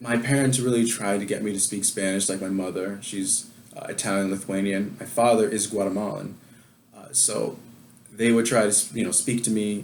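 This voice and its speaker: Audible room echo surrounds a man with an American accent and a fairly low pitch, talking at a fairly quick pace with fairly even intonation. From New York. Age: 20s. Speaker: adoptee sharing his story. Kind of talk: casual interview chat. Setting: video call.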